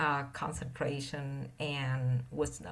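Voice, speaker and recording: A woman's very deep, low pitch with vocal fry and a non-native accent, plus audible room echo. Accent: heavy non-native. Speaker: meditation teacher. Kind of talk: dharma talk. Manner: halting, many fillers.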